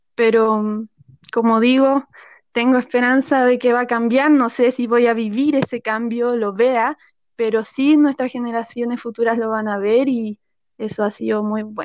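A woman's fairly high voice with a Chilean accent, flat and monotone, at a fairly slow pace, with a dry, close sound, no echo and a quiet background. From rural central Chile. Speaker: actress. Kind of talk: casual interview.

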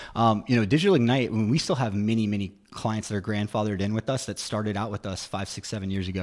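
Against a quiet background, a man with a fairly low pitch talks at a very fast pace in an energetic tone. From Virginia, Roanoke. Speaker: digital marketing agency founder. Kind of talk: radio interview. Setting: radio studio.

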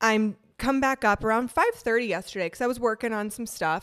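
Animated and very fast, a woman speaks with an Upper Midwest accent. Her pitch is fairly high. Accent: Upper Midwest American. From Wisconsin, from fourth grade. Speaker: dog trainer and podcast co-host. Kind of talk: casual chat. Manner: animated, laughing often.

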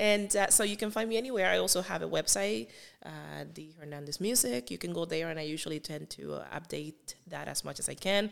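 Speaking with a Spanish accent, a woman moves at a fairly quick pace. Her loudness swings widely. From Cuba. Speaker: singer. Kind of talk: interview.

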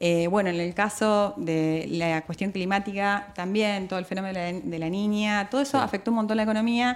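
A woman with an Argentine accent talks at a fairly quick pace. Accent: Argentine Spanish (voseo). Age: 30s. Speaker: notary. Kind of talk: radio interview.

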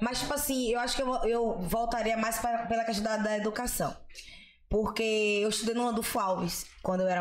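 In a strong Bahian accent, a woman talks at a fairly quick pace with a fairly high pitch and very even loudness. The recording carries audible room echo and noticeable background noise. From Salvador, Bahia, Brazil. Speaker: comedian. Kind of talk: casual chat.

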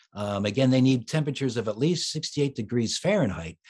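A plain, everyday voice: medium-pitched man with an American accent, lively intonation, moderate pace, quiet background. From US, Philadelphia. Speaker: children's author and musician. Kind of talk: interview.

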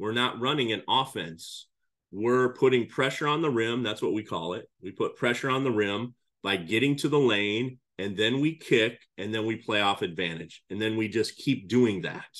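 Moderate pace and medium pitch from a man, with ordinary pitch variation. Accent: Midwestern US. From Iowa, US Midwest. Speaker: high school basketball coach. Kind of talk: podcast interview.

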